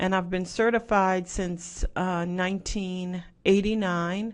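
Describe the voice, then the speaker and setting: A woman's medium-pitched, monotone voice in a slight Southwest Louisiana accent, against a quiet background. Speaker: professor. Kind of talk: lecture.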